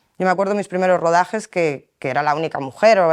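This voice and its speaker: A woman with a plain, everyday voice, fairly low in pitch, with ordinary pitch variation. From El Bierzo, León, Spain. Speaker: focus puller. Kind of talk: interview answer.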